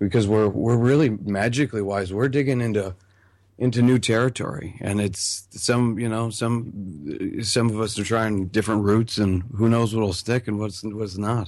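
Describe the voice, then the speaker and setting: In a quiet background, a man with a normal speaking voice and a fairly low pitch talks at a moderate pace with fairly even intonation. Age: 30s. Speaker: magician, online video creator. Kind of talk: casual interview chat.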